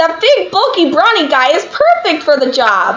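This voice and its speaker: A put-on character voice at an extremely high pitch and a moderate pace, with clear background noise. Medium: game stream. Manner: shifting, playful.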